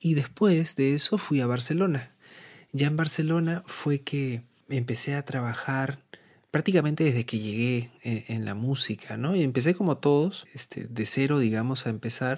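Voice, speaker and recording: A fairly high-pitched man at a moderate pace with ordinary pitch variation, in a very clean recording with a silent background. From Peru, Lima. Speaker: musician and composer. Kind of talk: interview. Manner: hesitant, many fillers.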